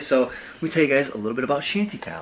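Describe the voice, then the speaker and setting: Over noticeable background noise, a man speaks in an upbeat tone at a fairly high pitch. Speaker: vlogger and comedy TV writer. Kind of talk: casual vlog. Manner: casual, upbeat.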